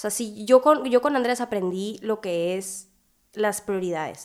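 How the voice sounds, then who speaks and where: A woman with ordinary pitch variation, in a very clean recording against a silent background. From Hermosillo, Sonora, Mexico. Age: 20s. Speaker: student and young mother. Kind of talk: podcast interview.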